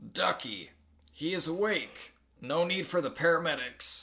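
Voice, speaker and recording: In a put-on character voice, a man sounds raspy and high-pitched. He keeps a moderate pace. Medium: read story. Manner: brisk, fatherly.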